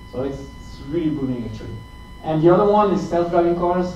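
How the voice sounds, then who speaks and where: With a French accent, a high-pitched man speaks at a fairly quick pace amid noticeable background noise and audible room echo. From France. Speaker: tech company account manager. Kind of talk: tech talk. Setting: meetup presentation with audience. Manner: halting, many fillers and repeats.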